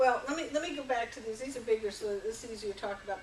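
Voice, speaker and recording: A woman speaks high and with lively intonation. Audible room echo and noticeable background noise surround her. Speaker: workshop facilitator. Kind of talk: workshop presentation.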